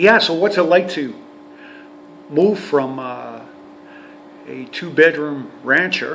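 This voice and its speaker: A man's fairly high voice, very slow, with ordinary pitch variation and big swings in loudness, amid audible room echo and noticeable background noise. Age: 60s. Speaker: retired heavy-duty mechanic and RV vlogger. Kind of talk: casual vlog monologue. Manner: halting, many fillers and repetitions.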